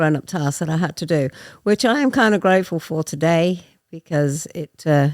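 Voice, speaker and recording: A woman with an English accent, fairly low pitch, ordinary pitch variation and a moderate pace, in a dry, close sound with no echo on a very clean recording with a silent background. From England. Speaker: guest in recovery. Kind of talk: personal testimony.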